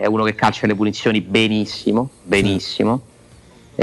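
A man speaks in a fairly low voice. His intonation is monotone and flat. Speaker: sports journalist. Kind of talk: casual chat.

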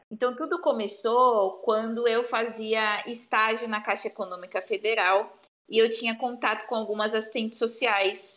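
At a moderate pace with hardly any pauses, a woman talks in a plain, everyday voice with fairly even intonation. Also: fairly high pitch for a woman. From Brazil, São Paulo state (Bauru). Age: 20s. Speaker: social worker. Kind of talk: interview conversation.

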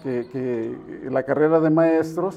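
His pitch is fairly high for a man. The intonation stays fairly even. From Jalisco, Mexico (Estipac). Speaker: political candidate. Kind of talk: interview. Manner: halting, frequent repetitions.

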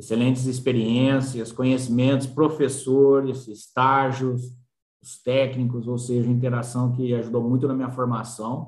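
A man's medium-pitched, monotone, flat delivery at a fairly slow pace, with big swings in loudness and audible room echo. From São Paulo state interior, Brazil. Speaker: agronomist. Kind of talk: interview.

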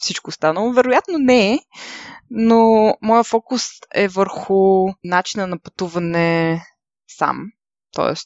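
A woman with an ordinary speaking voice, medium in pitch, at a fairly slow pace with ordinary pitch variation. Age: 20s. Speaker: travel podcaster. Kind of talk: solo podcast monologue.

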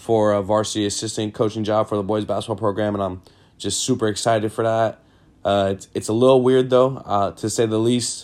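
A man's fairly low voice with an American accent, monotone and flat in intonation, on a very clean recording with a silent background. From Sacramento, California, US. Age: 20s. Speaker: podcast host and high school basketball coach. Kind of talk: casual monologue.

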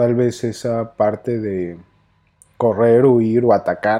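The voice has a dark, mellow tone and a Mexico City accent, heard over a quiet background. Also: man. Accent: Mexico City (chilango). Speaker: psychologist, podcast host. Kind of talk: personal storytelling monologue.

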